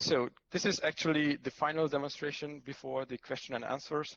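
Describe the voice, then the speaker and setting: A man with a Hungarian accent talks at a moderate pace with fairly even intonation, in a dry, close sound with no echo. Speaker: cloud architect. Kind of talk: conference talk with live demo. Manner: halting, many fillers.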